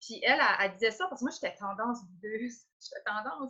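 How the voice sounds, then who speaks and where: Her voice is fairly high with a bright, sharp tone and ordinary pitch variation, as a woman with an Acadian accent speaks at a moderate pace. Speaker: entrepreneur. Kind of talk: interview. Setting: Facebook live video call.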